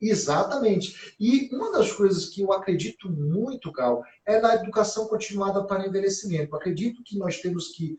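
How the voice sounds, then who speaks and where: With hardly any pauses, a man speaks at a moderate pace. His pitch is high, with ordinary pitch variation. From Brazil, interior of Bahia (sertão, Conceição do Coité). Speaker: gerontologist. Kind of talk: conversational interview. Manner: frequent fillers and tag questions.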